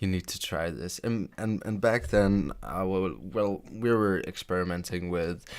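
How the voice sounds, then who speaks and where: A fairly slow pace, fairly even intonation and a non-native accent, on a very clean recording against a silent background. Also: man. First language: not English. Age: 20s. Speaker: gaming YouTuber. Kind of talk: story time. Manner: halting.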